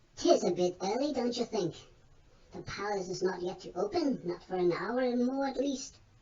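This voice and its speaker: A female-sounding, put-on character voice at medium pitch runs at a moderate pace. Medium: read story. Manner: folksy, colloquial.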